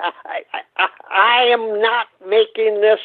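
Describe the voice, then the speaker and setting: A man with a high pitch talks in an American accent. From US Midwest, Minnesota. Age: 90s. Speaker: World War II veteran. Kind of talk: interview storytelling. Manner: halting, repeats words.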